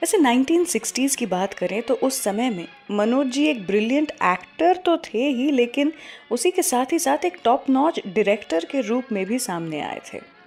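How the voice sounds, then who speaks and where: Over music in the background, a woman with a high pitch speaks with very wide pitch swings. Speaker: radio show host. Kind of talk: radio show presenter narration.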